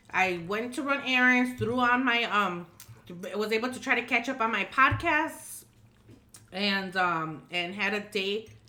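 A woman with a Chicago accent speaks at a fairly high pitch with very wide pitch swings. Her tone is animated, bright and sharp. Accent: Chicago American English. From Chicago, US Midwest. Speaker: podcast co-host. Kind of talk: casual chat.

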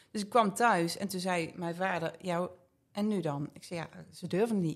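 An unremarkable speaking voice comes through with fairly even intonation. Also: woman. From Geldrop, North Brabant, Netherlands. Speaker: beauty salon owner. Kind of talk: casual interview chat.

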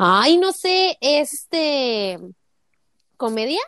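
In a Mexican accent, a woman speaks very slowly with lively intonation, the sound dry and close with no echo. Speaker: podcast co-host. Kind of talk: casual chat.

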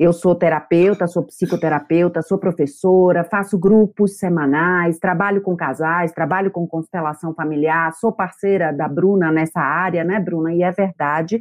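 Over music in the background, a woman with a northeastern Brazilian accent talks at a fairly low pitch and a moderate pace, with fairly even intonation and hardly any pauses. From Brazil, Bahia. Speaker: psychotherapist. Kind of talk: testimony.

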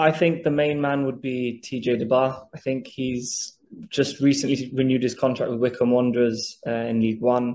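A dark, mellow tone carries fairly even intonation at a moderate pace. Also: man, medium pitch for a man, hardly any pauses. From Gibraltar, early childhood in Dublin. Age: 30s. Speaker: former international footballer. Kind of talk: interview.

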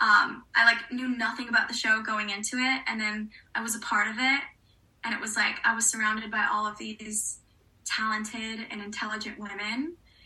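Against noticeable background noise, a woman with an American accent speaks at a moderate pace in a fairly high, monotone, flat voice. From US South, New Orleans. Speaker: actress. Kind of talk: casual chat.

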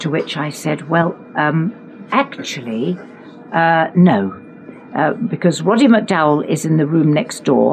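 A woman's very deep, low voice in a southern English accent, with very wide pitch swings and music in the background. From England, Richmond upon Thames. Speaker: actress. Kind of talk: anecdotal storytelling in conversation.

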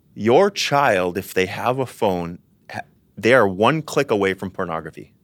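A man with a normal speaking voice talks at a moderate pace, fairly low in pitch, with ordinary pitch variation. The recording is very clean, the background silent. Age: 30s. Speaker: pastor. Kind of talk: casual chat.

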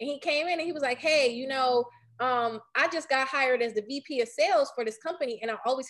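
A woman with a high pitch and an American accent, talking at a very fast pace with ordinary pitch variation. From Detroit, east side. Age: 30s. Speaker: tech startup founder. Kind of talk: interview.

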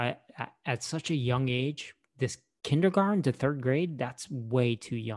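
A man speaks with an unremarkable speaking voice at a fairly slow pace. His medium pitch has ordinary variation. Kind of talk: casual chat. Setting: video call. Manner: casual, joking.

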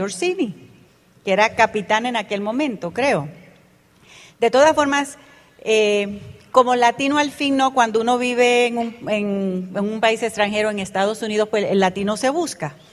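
A woman with an unremarkable speaking voice talks at a fairly slow pace. Her pitch is fairly high, with ordinary pitch variation. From Panama Canal Zone, Puerto Rican parents. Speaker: network marketing business leader. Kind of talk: motivational talk to audience.

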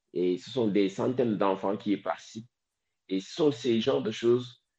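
Against a quiet background, a man speaks at a moderate pace and medium pitch with lively intonation and a dark, mellow tone. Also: big swings in loudness. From Senegal. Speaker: environmental activist. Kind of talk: interview.

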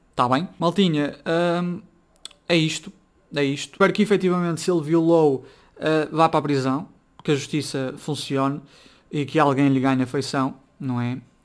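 At a moderate pace, a man with a fairly high pitch speaks with ordinary pitch variation and long, frequent pauses. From northern Portugal, Braga. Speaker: podcaster. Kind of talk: casual solo commentary.

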